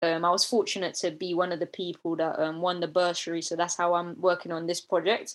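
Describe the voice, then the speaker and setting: Speaking in a south London accent, a woman uses a fairly low pitch and a fairly quick pace. Her intonation is monotone and flat, and the recording is very clean with a silent background. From London, Deptford area. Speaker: nature content creator. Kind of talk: casual chat.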